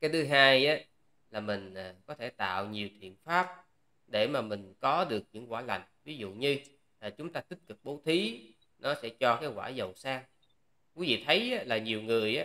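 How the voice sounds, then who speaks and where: Over a quiet background, a man with a bright, sharp tone speaks fairly slowly with long, frequent pauses. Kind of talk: sermon. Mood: calm, gentle advice. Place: office.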